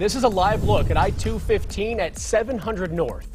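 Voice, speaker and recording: A man talks at a moderate pace. Music is playing behind him. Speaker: news anchor. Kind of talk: TV news anchor read.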